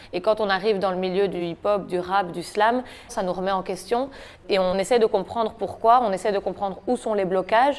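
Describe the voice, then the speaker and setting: A woman talks at a moderate pace with a medium pitch and fairly even intonation. Hers is a plain, everyday voice. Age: 20s. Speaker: slam poet. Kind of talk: interview.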